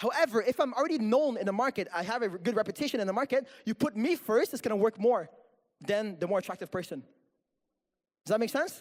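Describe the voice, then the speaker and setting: A man talks at a very fast pace with a high pitch. His intonation is lively. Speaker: social media marketing presenter. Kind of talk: workshop presentation.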